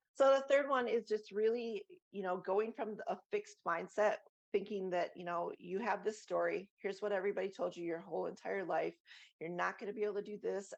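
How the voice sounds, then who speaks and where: Using a put-on character voice, a woman speaks raspily at a medium pitch and a fairly quick pace. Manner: fast, excited.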